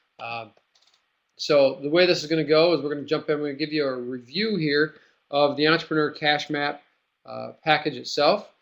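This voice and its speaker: Fairly quick in pace, this man talks with fairly even intonation. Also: fairly high pitch for a man. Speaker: webinar host and business coach. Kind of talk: live webinar tutorial. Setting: online webinar room. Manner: fast; many fillers, casual.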